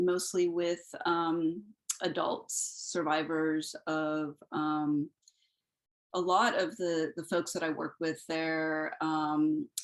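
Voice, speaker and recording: A woman speaks in a fairly low voice. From Peru. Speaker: therapist and clinical supervisor. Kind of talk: panel talk about career path. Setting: video call. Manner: hesitant, many fillers.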